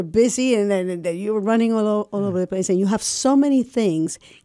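The speaker has a Spanish accent, a dark, mellow tone and ordinary pitch variation. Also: woman, very clean recording, silent background. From Puerto Rico. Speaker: community radio host. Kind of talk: radio interview.

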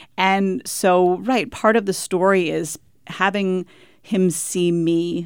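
In a very clean recording with a silent background, a woman with a fairly low pitch and an American accent uses an ordinary speaking voice with fairly even intonation. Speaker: author. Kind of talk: radio interview.

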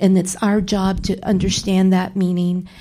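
With an American accent, a woman speaks at a medium pitch in a dark, mellow, somewhat breathy tone, captured in a very clean recording with a silent background. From San Antonio, Texas (West Side). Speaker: cultural historian. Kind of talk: panel discussion.

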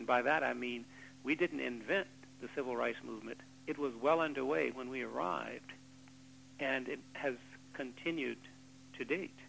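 In a bright, sharp tone with vocal fry, a man of medium pitch speaks at a moderate pace with ordinary pitch variation and long, frequent pauses. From Arkansas, Little Rock. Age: 50s. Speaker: civil rights veteran. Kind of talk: radio panel discussion. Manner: formal.

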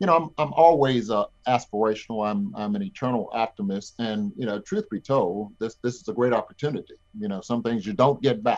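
An ordinary speaking voice from a man with an American accent, medium pitch, lively intonation and a fairly quick pace. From Overtown, Miami, US South. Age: 60s. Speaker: OBGYN doctor and community planner. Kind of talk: radio interview. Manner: warm, wordy, repeats phrases.

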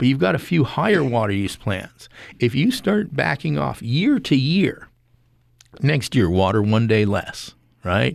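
A man's medium-pitched voice with vocal fry and very wide pitch swings, at a fairly slow pace. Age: 60s. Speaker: horticulturist and gardening podcast co-host. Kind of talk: radio call-in interview.

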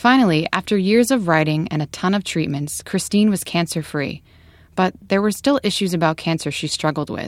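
On a very clean recording with a silent background, a woman with an unremarkable speaking voice and fairly low pitch talks at a moderate pace with lively intonation. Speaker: radio reporter. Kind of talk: scripted radio narration.

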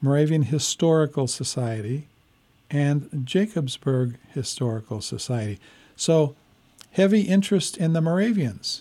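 Over a silent background in a very clean recording, a man talks at a fairly slow pace in a fairly high pitch with a dark, mellow tone. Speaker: radio host. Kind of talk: radio interview. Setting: radio studio.

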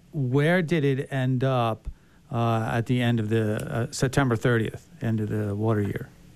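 A man talks in an unremarkable speaking voice, pitched at a medium level with ordinary pitch variation. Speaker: radio host. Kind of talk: casual radio interview. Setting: studio.

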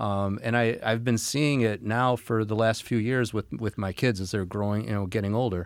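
With an American accent, a man talks at a fairly low pitch. His intonation is fairly even, and he moves at a moderate pace with hardly any pauses. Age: 50s. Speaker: county party vice chair. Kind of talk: political discussion. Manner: halting, many fillers.

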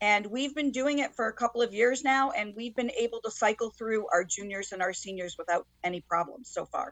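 A woman with an American accent talks at a moderate pace in an unremarkable speaking voice. Her pitch is fairly high, with ordinary pitch variation. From Connecticut, Waterbury. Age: 60s. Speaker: high school teacher. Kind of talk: interview. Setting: video call.

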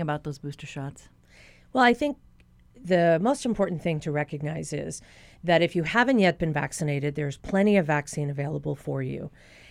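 A woman with an ordinary speaking voice talks at a fairly quick pace in a fairly low pitch with lively intonation, in a very clean recording with a silent background. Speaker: physician. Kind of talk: radio Q&A interview. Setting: studio.

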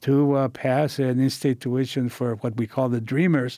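In a very clean recording with a silent background, a man speaks in a dark, mellow tone with monotone, flat intonation. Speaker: labor leader and author. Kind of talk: interview. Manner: halting.

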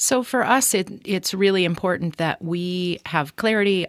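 In an ordinary speaking voice, a woman talks at a moderate pace with ordinary pitch variation over a quiet background. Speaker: state election official. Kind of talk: radio interview.

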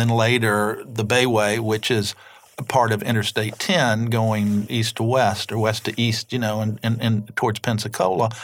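A medium-pitched man with an Alabama accent at a fairly slow pace. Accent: Southern US (Alabama). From US South, Mobile, Alabama. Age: 60s. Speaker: novelist. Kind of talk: interview. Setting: studio.

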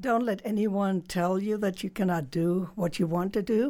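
A woman of medium pitch with a German accent, in a very clean recording with a silent background. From Germany. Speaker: author and former hog farmer. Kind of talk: interview.

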